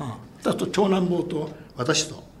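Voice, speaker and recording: There's audible room echo around this man's voice. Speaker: atomic bomb survivor. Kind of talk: testimony.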